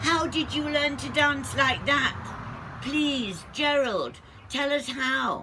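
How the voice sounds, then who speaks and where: A put-on character voice, high in pitch, goes along at a very slow pace against clear background noise. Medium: read story.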